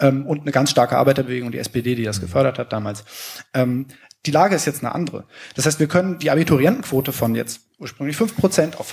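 Speaking at a very fast pace, a man with a fairly high pitch sounds somewhat breathy, and his intonation is lively. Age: 20s. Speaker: teaching student. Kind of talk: audience discussion contribution. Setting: live event with audience.

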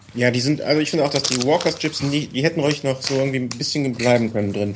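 Background noise is noticeable here. A man does the talking. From Cologne, Germany. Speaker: listener guest, hobby cyclist. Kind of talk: casual chat.

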